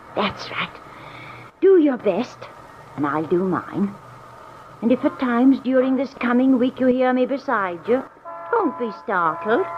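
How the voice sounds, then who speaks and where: A woman's high-pitched voice at a fairly slow pace, with very wide pitch swings and music in the background. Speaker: little old woman. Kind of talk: 1940s radio drama dialogue.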